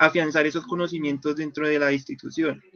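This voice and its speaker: A man speaks at fairly high pitch. His intonation stays fairly even. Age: 20s. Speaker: student. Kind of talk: mock job interview. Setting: video call. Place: home room. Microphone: video call.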